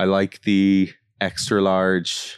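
Against a quiet background, a man speaks with a very deep, low pitch. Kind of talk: casual chat. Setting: studio.

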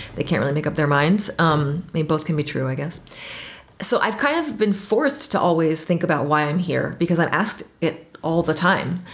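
Over noticeable background noise, a woman with an American accent speaks at a fairly quick pace with ordinary pitch variation. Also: fairly low pitch for a woman. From Washington, D.C. area, US. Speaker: trip leader living abroad. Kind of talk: casual interview.

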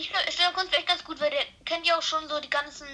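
Against noticeable background noise, a woman with an extremely high pitch uses a raised, projected voice at a very fast pace. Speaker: football podcast co-host. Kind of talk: casual chat. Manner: halting, many fillers.

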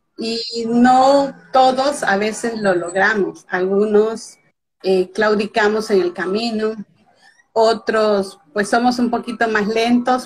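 Somewhat breathy, a woman speaks at a very slow pace with a fairly high pitch and ordinary pitch variation. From Mexico (Veracruz). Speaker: author. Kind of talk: interview. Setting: live video call.

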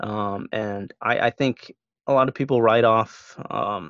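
Recorded dry and close with no echo against a quiet background, a man with an ordinary speaking voice talks at medium pitch with fairly even intonation. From US Midwest (Omaha, Nebraska). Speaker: sports broadcaster. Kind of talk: casual chat.

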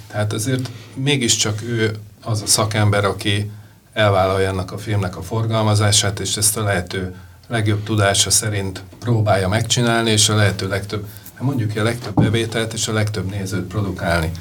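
His pitch is fairly low and his intonation monotone and flat. The man keeps a moderate pace. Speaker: jury member, film funding director. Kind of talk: interview conversation.

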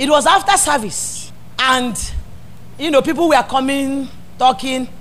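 A woman with a Nigerian accent speaks at a high pitch and a fairly slow pace, her tone animated and her intonation lively, over noticeable background noise. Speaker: pastor. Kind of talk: sermon. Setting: church. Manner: animated, exhorting call-and-response preaching.

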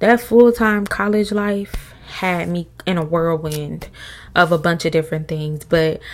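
A woman with an unremarkable speaking voice talks at a fairly low pitch. Her pace is moderate and her intonation fairly even. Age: 20s. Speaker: podcast host. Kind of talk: casual chat.

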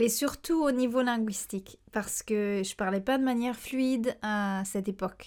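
At a fairly slow pace, a woman speaks with a fairly high pitch and ordinary pitch variation. The recording is very clean, with a silent background. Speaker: language teacher and podcast host. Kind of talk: educational podcast monologue. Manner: hesitant, with frequent fillers.

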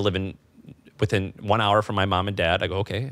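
Speaking very fast in a flat monotone, a man with an American accent and a fairly low pitch comes through on a very clean recording with a silent background. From Missouri. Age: 30s. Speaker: entrepreneur. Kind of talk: casual chat. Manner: halting.

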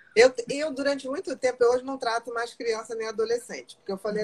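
In a normal speaking voice, a woman talks at a fairly quick pace and a fairly high pitch, with ordinary pitch variation. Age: 50s. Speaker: psychiatrist. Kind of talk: casual chat.

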